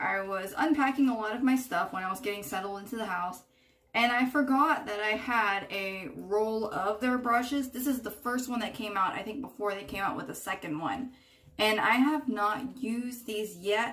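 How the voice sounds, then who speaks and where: Ordinary pitch variation from a woman speaking at a moderate pace. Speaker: beauty vlogger. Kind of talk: casual vlog chat. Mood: warm, chatty. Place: bathroom. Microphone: phone near.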